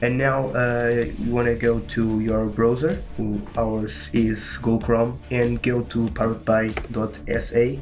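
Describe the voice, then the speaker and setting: A man with a Portuguese accent talks at a very slow pace with hardly any pauses and ordinary pitch variation, over noticeable background noise and audible room echo. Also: medium pitch for a man. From Portugal. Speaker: gaming tutorial youtuber. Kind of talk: tutorial. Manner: halting, many fillers.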